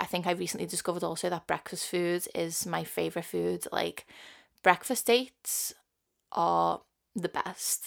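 In a very clean recording with a silent background, a woman with a strong Liverpool accent speaks at a moderate pace. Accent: strong Scouse. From Liverpool, England. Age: 20s. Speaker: podcast host. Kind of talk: casual monologue.

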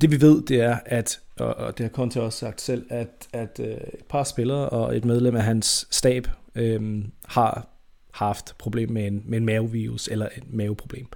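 The voice moves at a very slow pace, with a dark, mellow tone and fairly even intonation. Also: man. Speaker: football podcast host. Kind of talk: casual chat. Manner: halting.

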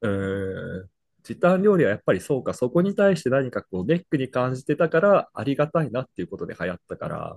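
A man at a fairly high pitch and a fairly quick pace, with very wide pitch swings and a dry, close sound without echo. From Brazil. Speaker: podcast co-host, office worker. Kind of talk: casual chat.

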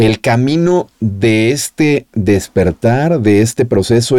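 A man at a medium pitch, with a dark, mellow tone and ordinary pitch variation, comes through in a dry, close sound with no echo. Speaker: podcast host, former radio host. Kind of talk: interview conversation.

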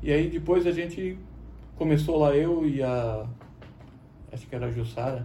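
At a moderate pace, a man with a fairly high pitch and ordinary pitch variation leaves long, frequent pauses, with audible room echo and noticeable background noise around him. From Blumenau, southern Brazil. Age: 40s. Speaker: songwriter and volunteer. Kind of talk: casual interview chat.

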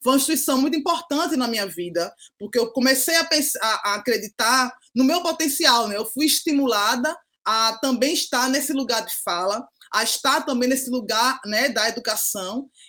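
A raised, projected woman's voice at high pitch, bright and sharp in tone, with lively intonation at a moderate pace. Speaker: pedagogue and social educator. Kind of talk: podcast interview. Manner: frequent tag 'né' fillers.

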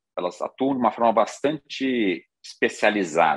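In an unremarkable speaking voice, a man at medium pitch uses lively intonation. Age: 50s. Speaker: financial industry executive and board advisor. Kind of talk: conference talk.

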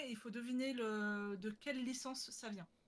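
A woman's bright, sharp tone with fairly even intonation and a fairly slow pace. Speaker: podcast host. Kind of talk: casual chat. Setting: video call over Discord.

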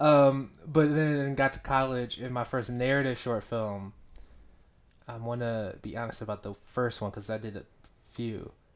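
A man talks at a moderate pace in an ordinary speaking voice, pitched medium with fairly even intonation. His loudness swings widely. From US South, Georgia. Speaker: director of photography. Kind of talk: casual interview chat. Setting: studio.

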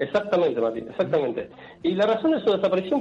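A man speaks in a Rioplatense accent. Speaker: radio columnist. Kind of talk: radio segment. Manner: halting. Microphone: possible bad connection.

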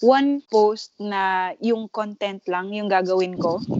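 A woman at a very slow pace. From Philippines. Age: 20s. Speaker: podcast co-host. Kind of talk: casual chat.

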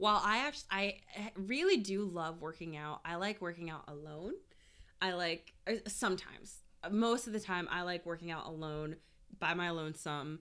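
Loud and animated, a woman talks at a moderate pace in a fairly low voice with ordinary pitch variation. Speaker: podcast co-host. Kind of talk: casual chat. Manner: animated, laughing often.

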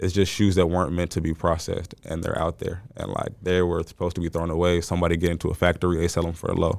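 On a very clean recording with a silent background, a man with an American accent talks at a very fast pace in a very deep, low pitch and monotone, flat intonation. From Dallas area, Texas. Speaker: shoe store owner. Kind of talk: casual interview.

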